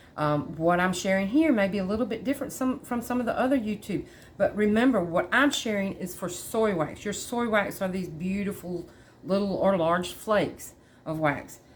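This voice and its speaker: A woman speaks in a Southern US accent at a medium pitch. Her intonation is lively and her pace moderate. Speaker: candle maker tutor. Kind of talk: tutorial. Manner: halting, many fillers; casual.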